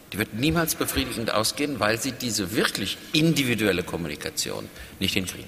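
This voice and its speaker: Against noticeable background noise, a man at medium pitch talks fairly quickly, his pitch swinging very widely. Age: 50s. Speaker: public radio director. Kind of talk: panel discussion.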